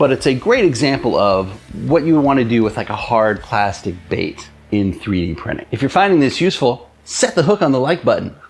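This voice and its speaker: Over noticeable background noise, a man talks fairly quickly at a medium pitch, his voice swinging very widely up and down. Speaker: lure maker and fishing YouTuber. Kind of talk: tutorial. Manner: animated.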